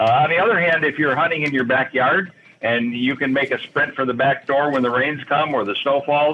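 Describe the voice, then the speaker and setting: A man with a Midwestern American accent talks at a fairly quick pace and a fairly high pitch, with ordinary pitch variation. His loudness stays very even against noticeable background noise. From Michigan. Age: 70s. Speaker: hunting author. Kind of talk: radio interview.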